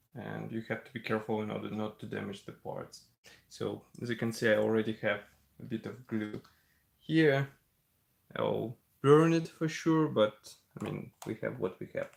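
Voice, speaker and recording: With a Russian accent, the speaker moves at a moderate pace with long, frequent pauses. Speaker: scale model builder, live streamer. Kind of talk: live-stream tutorial. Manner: relaxed, conversational.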